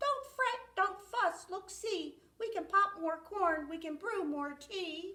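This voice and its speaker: Putting on a squeaky character voice at an extremely high pitch, a woman talks at a fairly slow pace with hardly any pauses. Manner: soothing, reassuring.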